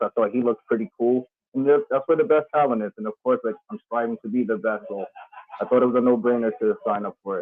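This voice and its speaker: Rushing at a very fast pace, a man speaks in a medium pitch with fairly even intonation. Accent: New York. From New York, the Bronx. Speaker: professional wrestler. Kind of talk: casual interview.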